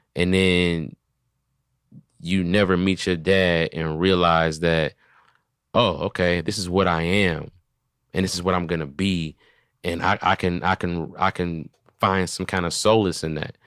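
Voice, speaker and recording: A man's very deep, low voice, flat and monotone, with long, frequent pauses, in a very clean recording with a silent background. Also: fairly slow pace. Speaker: comedian and podcast host. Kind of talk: casual chat.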